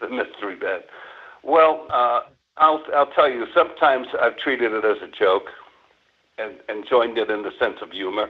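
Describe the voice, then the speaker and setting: Pausing long and often, a man speaks at a moderate pace with big swings in loudness. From New York City. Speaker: prank call victim. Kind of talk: phone conversation. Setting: phone call. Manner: halting, many fillers.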